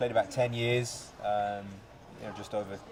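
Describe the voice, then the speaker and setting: A man with an English accent at a fairly quick pace, over noticeable background noise. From Birmingham, England. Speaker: soccer coach. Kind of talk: interview.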